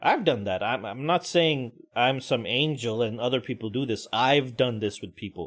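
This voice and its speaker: Pitch rises and falls normally in this man's voice. He keeps a medium tempo. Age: middle-aged. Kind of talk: casual talk to camera. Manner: ranting, conversational.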